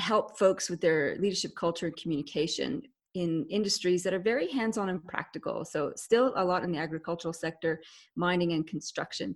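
A woman with a Canadian accent has a normal speaking voice at a fairly low pitch. She speaks at a moderate pace with ordinary pitch variation. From Canada. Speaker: leadership expert, author. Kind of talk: interview. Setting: video call.

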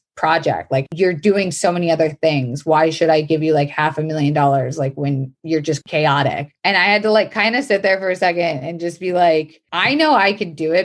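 In an American accent, a woman talks at a moderate pace with a fairly low pitch, ordinary pitch variation, and an unremarkable speaking voice. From Florida. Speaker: comedian and actor. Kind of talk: casual interview chat.

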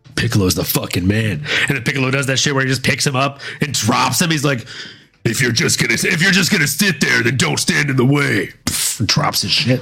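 A man's medium-pitched voice with lively intonation, a fairly quick pace and very even loudness, over noticeable background noise. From US South, Louisiana. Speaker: podcast host. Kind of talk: casual chat. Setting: live stream.

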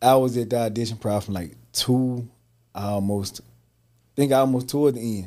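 With an American accent, a man speaks at a medium pitch and moderate pace in a dark, mellow tone with fairly even intonation. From Mississippi, Holly Springs. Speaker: actor and entrepreneur. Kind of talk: casual interview chat.

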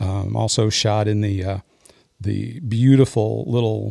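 The recording of this male voice is very clean, with nothing audible in the background. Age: 60s. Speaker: musician. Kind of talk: casual chat.

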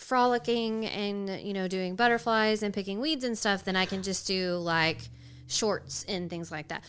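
Recorded very cleanly against a silent background, a woman with an unremarkable speaking voice talks at a moderate pace and medium pitch, with ordinary pitch variation. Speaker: guest gamer. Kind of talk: casual chat. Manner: joking, humorous.

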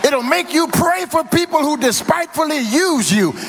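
Over noticeable background noise, a man with an American accent speaks in very wide pitch swings. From Louisiana. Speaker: pastor. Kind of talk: sermon. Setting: church. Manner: rhythmic call-and-response preaching, rising in intensity.

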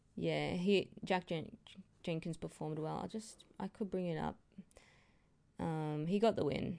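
A woman's fairly low voice with an Australian accent, dark and mellow in tone, at a fairly slow pace with ordinary pitch variation. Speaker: mixed martial arts podcaster. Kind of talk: solo fight recap. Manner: hesitant, many fillers.

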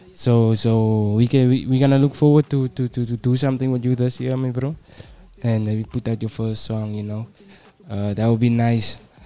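Over music in the background, a man talks at a moderate pace and a medium pitch. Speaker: radio host. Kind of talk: radio interview. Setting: radio studio. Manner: friendly, upbeat.

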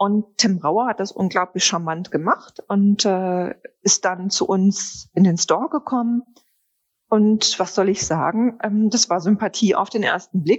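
A woman's plain, everyday voice at a fairly slow pace, with ordinary pitch variation. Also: medium pitch for a woman. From Ruhr area, Germany (Wanne-Eickel). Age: 50s. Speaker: perfume brand founder. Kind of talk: interview.

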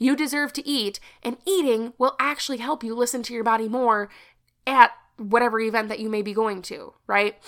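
A woman's fairly high, animated voice at a fairly quick pace, with ordinary pitch variation. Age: 20s. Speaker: podcast host and confidence coach. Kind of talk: casual solo podcast monologue.

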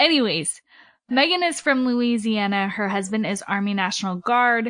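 A woman speaks with ordinary pitch variation. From western US. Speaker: podcast host. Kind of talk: interview. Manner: animated.

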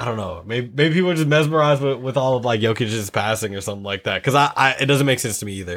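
Recorded very cleanly against a silent background, a man speaks with lively intonation. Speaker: podcast host. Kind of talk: casual chat. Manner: animated.

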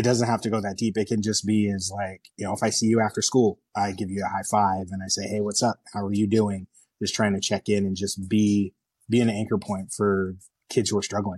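A man talks at a fairly quick pace and a fairly low pitch, his intonation monotone and flat. The sound is dry and close, with no echo. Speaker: youth sports coach and mentor. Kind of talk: casual interview chat.

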